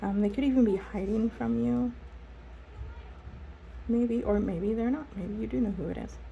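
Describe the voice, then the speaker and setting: A woman speaks at a fairly slow pace with long, frequent pauses. Noticeable background noise runs behind her. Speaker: tarot and oracle card reader. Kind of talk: casual talk to camera, spiritual reading.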